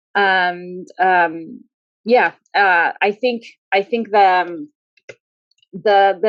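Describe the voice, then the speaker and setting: A woman speaks with a Spanish accent in a dry, close sound with no echo. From Argentina, Rosario. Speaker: public health researcher and former pediatrician. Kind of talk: panel conversation. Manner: halting, many fillers.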